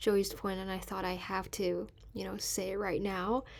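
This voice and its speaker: On a very clean recording with a silent background, a woman speaks in a Mandarin accent. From mainland China, Beijing. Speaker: student podcast host. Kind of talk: recorded aside during editing; casual chat.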